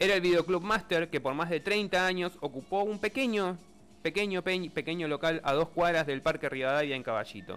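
Speaking at a moderate pace, a man uses a high pitch and lively intonation. The recording is very clean with a silent background. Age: 30s. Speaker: radio co-host and technical operator. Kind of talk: casual radio chat.

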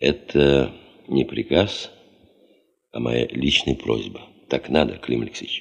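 A put-on character voice from a man, extremely low-pitched with vocal fry and a slightly husky edge, at a fairly slow pace with ordinary pitch variation

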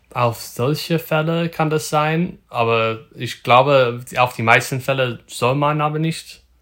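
A man with an English accent speaks at a very slow pace with hardly any pauses, his fairly high pitch moving with ordinary variation over a very clean recording and a silent background. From Northern California. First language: English (speaking German). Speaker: photographer. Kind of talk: casual interview. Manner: halting, many fillers.

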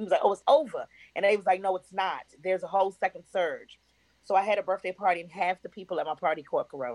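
A woman at medium pitch with an animated tone and a very fast pace, in a dry, close sound with no echo. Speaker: actress. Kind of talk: casual chat.

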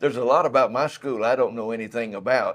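A man speaks with an East Texas accent. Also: quiet background. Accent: East Texas Southern US. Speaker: museum guide. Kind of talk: guided museum tour interview. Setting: museum.

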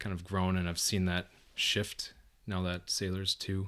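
A man's very deep, low voice with a Minnesota accent, monotone and flat, in a very clean recording with a silent background. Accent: Upper Midwest (Minnesota) American. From southern Minnesota, Mountain Lake. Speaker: engineer, podcast guest. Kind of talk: casual chat.

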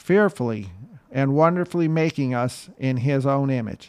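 A man's unremarkable speaking voice, ordinary pitch variation, moderate pace. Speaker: podcast host. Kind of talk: guided prayer. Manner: fervent, earnest, devout.

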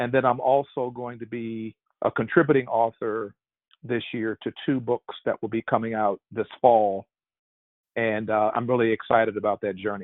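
At a moderate pace, a man speaks in a normal speaking voice with a medium pitch and fairly even intonation. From Virginia, Richmond. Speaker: pastor and leadership consultant. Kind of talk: interview.

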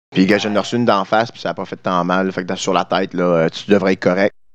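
A man with an ordinary speaking voice talks at a fairly quick pace in a fairly low register, the sound dry and close with no echo. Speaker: podcast co-host, musician. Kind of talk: casual chat.

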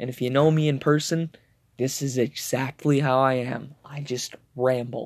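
Speaking at a medium speed with a medium pitch, the man holds a monotone, flat intonation. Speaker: solo podcaster. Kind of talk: casual monologue. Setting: home recording, solo. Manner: rambling, meandering.

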